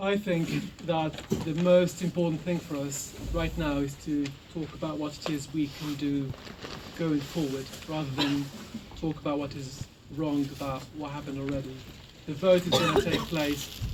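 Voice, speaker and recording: Over noticeable background noise, a soft-spoken man talks in a flat monotone at a moderate pace, with long, frequent pauses. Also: fairly high pitch for a man. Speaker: activist speaker. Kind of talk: public speech.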